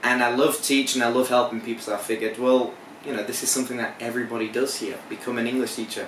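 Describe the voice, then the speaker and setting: A man of medium pitch at a fairly quick pace, with audible room echo and noticeable background noise. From northern England, Hull. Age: 20s. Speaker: English teacher. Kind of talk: interview. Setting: on location.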